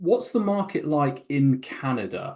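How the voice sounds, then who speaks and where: Against a quiet background, a man with a British accent speaks with lively intonation. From Britain. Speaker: franchise company interviewer. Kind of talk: interview.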